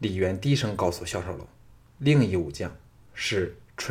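Plain reading aloud is what this voice does.

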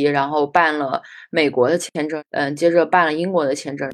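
Against a quiet background, a woman with an ordinary speaking voice talks at a moderate pace, her pitch fairly low with ordinary pitch variation. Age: 30s. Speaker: anthropology graduate student. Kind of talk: casual chat.

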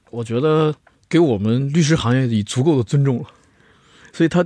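An ordinary speaking voice with lively intonation at a fairly quick pace, over a quiet background. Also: man. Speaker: lawyer. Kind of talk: casual chat.

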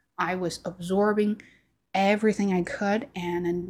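Speaking at a fairly slow pace with a non-native accent, a woman keeps a medium pitch and fairly even intonation. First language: Chinese. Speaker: YouTuber and podcaster. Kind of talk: casual monologue to camera. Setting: home recording on camera. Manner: halting, with filler words and repetitions.

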